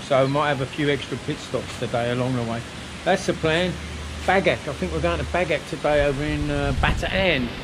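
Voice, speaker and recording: Noticeable background noise behind a man at a moderate pace. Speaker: motorcycle vlogger. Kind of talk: casual vlog chat. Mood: cheerful, upbeat. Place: garden. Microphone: phone near.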